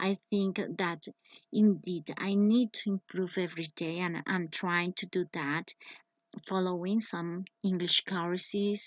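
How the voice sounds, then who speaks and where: Very slow speech from a woman with a Spanish accent, at medium pitch with fairly even intonation, dry and close with no echo, over a quiet background. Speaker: english teacher. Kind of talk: personal presentation. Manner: halting.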